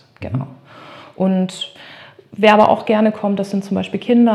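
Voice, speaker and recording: A woman at a moderate pace, in a monotone with flat intonation. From northern Germany, Emsland. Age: 30s. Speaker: art therapist. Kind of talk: interview. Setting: in her studio.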